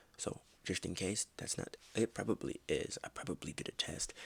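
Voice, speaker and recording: A man whispers at a moderate pace. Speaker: podcast host. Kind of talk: casual monologue. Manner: almost whispering; halting, filler words.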